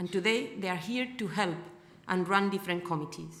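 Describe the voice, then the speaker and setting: A woman with a Spanish accent speaks at a medium pitch. Her pitch varies in an ordinary way. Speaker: foundation representative. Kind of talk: welcome speech.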